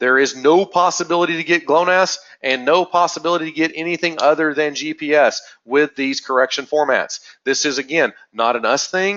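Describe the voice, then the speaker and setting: Talking at a fairly quick pace, a man with a fairly high pitch shows ordinary pitch variation. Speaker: webinar presenter for a GNSS correction network. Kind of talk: technical webinar presentation. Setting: recorded webinar. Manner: fast; frequent filler words (uh).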